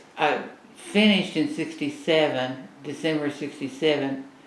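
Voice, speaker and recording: Against noticeable background noise and audible room echo, a woman speaks fairly slowly in a very deep, low pitch. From Oklahoma (Seminole, Ada). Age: 80s+. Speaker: interviewee sharing family history. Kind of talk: casual interview.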